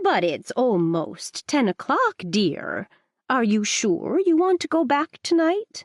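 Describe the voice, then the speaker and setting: A female-sounding, put-on character voice speaks at a fairly slow pace with a high pitch. Its pitch swings very widely against a quiet background. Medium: read story.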